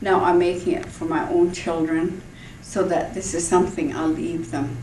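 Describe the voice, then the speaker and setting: The speech moves at a moderate pace, with audible room echo and noticeable background noise. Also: woman. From Fort Rupert, British Columbia, Canada (First Nations). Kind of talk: personal testimony.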